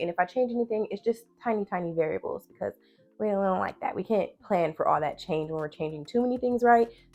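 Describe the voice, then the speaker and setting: A woman with a medium pitch talks at a very fast pace in an animated tone, with ordinary pitch variation and music in the background. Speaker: planner YouTuber. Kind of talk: casual product review vlog. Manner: chatty, animated.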